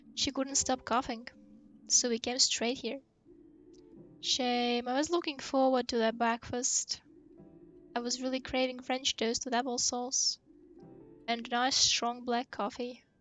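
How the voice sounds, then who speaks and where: Against background music, a woman speaks at a fairly slow pace in a high pitch with monotone, flat intonation and long, frequent pauses. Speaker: gaming video creator. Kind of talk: reading video game dialogue aloud.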